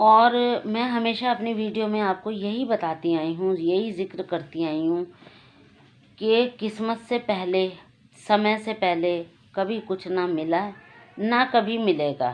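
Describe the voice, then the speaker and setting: A woman's voice at medium pitch, with ordinary pitch variation. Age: 60s. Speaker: YouTube channel host. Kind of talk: personal testimony.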